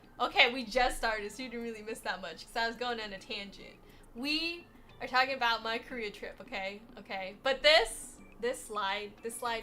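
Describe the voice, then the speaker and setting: With music in the background, a woman with an American accent speaks in an animated tone at a moderate pace. Her pitch is fairly high, and her loudness swings widely. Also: ordinary pitch variation. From USA. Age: 50s. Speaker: streamer. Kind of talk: casual livestream chat.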